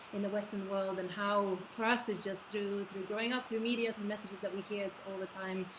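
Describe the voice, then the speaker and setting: A woman's medium-pitched voice with a Lithuanian accent, a fairly quick pace, audible room echo and noticeable background noise. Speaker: interviewer. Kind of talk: interview.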